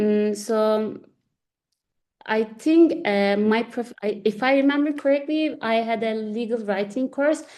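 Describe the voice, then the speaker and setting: A woman with a Turkish accent speaks at a fairly slow pace against a quiet background. Her voice is fairly high with a dark, mellow tone and ordinary pitch variation. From Turkey, Istanbul. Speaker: lawyer. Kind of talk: interview. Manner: halting, many restarts and fillers.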